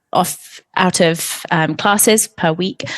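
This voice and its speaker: With an English accent, a woman talks at a very slow pace. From England. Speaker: marketing executive and editor. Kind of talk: interview conversation.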